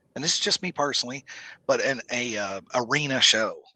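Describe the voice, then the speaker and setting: With a Southern US accent, a man talks at a fairly quick pace in a bright, sharp tone and lively intonation, recorded with a dry, close sound and no echo. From US South. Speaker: musician and local show promoter. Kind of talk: casual podcast interview.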